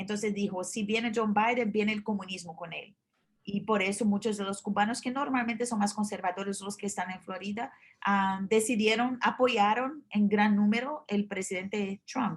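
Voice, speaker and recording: A woman's somewhat breathy voice at medium pitch, moderate pace, and fairly even intonation. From Brazil. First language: Portuguese (speaking Spanish). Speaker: journalist. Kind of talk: interview. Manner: halting, many fillers and restarts.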